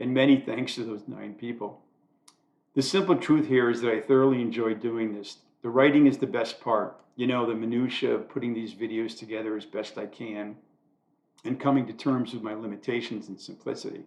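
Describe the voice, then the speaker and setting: In a plain, everyday voice, a man talks at a fairly quick pace and medium pitch, his intonation fairly even but his loudness swinging widely. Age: 60s. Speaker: amateur YouTuber doing commentary monologues. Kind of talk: scripted monologue read from own writing.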